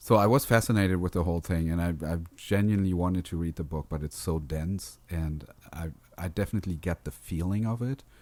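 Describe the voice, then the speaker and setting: Speaking with a non-native accent, a man talks at a fairly quick pace. His pitch is very deep and low, with ordinary variation. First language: not English. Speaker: podcast host. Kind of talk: casual chat.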